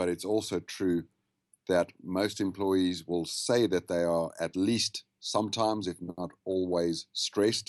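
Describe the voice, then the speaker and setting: Fairly even intonation in a South African accent, with a dry, close sound, no echo and a quiet background. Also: man. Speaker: habits and wellness consultant. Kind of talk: podcast interview. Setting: Skype call.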